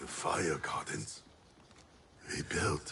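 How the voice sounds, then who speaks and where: There is light background noise. Over it, a man performs a put-on character voice. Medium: video game. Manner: solemn, clipped.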